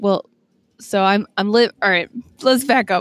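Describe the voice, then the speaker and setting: Speaking with an Upper Midwest accent, a woman shows ordinary pitch variation. The sound is dry and close, with no echo. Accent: Upper Midwest American. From Wisconsin, Green Bay. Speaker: trail runner and podcaster. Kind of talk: casual interview. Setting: coffee shop.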